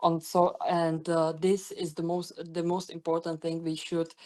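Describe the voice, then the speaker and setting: Against a quiet background, a woman with a non-native accent speaks at a very slow pace and a fairly low pitch. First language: not English. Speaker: webinar presenter. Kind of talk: webinar presentation. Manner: halting, many fillers and restarts.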